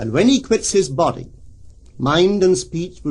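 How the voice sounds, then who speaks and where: A man's fairly high, somewhat breathy voice carries lively intonation. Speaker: metaphysical lecturer. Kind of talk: recorded spiritual lecture.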